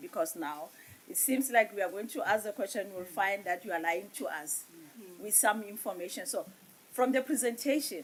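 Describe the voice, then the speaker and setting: Noticeable background noise sits behind a woman speaking at a moderate pace. Her fairly high pitch shows very wide swings. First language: Setswana or Sesotho. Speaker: parliamentary committee member. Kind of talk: parliamentary committee questioning.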